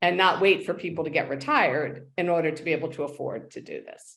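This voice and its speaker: A woman talks at a fairly quick pace and a fairly low pitch. She has an unremarkable speaking voice. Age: 60s. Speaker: living organ donor. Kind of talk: interview.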